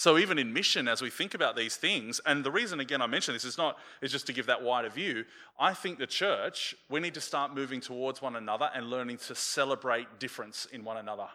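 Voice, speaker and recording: Speaking with an Australian accent, a man talks at a very fast pace in a bright, sharp tone. His pitch is medium, with ordinary variation. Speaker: pastor. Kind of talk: sermon. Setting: church with a congregation.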